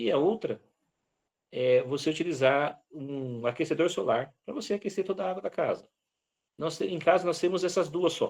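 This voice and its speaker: Here is a man with a high-pitched voice. His intonation is lively. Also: moderate pace. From Brazil, Vale do Ribeira (São Paulo). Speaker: lecturer on rural self-sufficiency. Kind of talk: online lecture Q&A.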